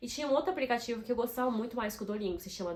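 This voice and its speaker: Lively intonation and an animated tone mark this woman's speech. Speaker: YouTuber. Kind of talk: casual vlog tips.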